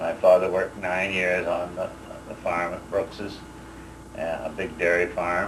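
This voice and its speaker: A man talks fairly slowly in a Canadian prairie accent. Room echo is audible, and there is noticeable background noise. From Saskatchewan, Canada. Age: 60s. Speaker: war veteran. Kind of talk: oral history interview. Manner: halting, many fillers.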